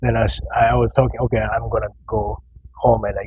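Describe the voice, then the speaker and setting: A man speaks with a Japanese accent. Noticeable background noise is present. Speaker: professional bodybuilder. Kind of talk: casual interview chat. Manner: halting, with many repeated words.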